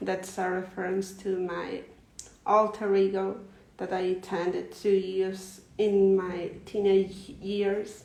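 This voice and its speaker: In a Spanish accent, the speaker talks at a very slow pace with monotone, flat intonation, and room echo is audible. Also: woman, medium pitch for a woman. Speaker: poet. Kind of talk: reading aloud. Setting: livestream. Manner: halting.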